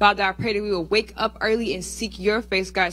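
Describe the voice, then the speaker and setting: A woman speaks at a fairly quick pace with an intense tone. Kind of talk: fervent prayer of spiritual warfare; spoken prayer. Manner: earnest, intense, repeating 'Father God'. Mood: earnest, fervent. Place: church. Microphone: handheld.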